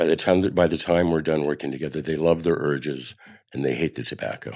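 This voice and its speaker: A man speaks at a fairly quick pace in a very deep, low voice with vocal fry. His intonation stays fairly even. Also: very clean recording, silent background. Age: 70s. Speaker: poet songwriter and smoking cessation coach. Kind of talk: casual chat.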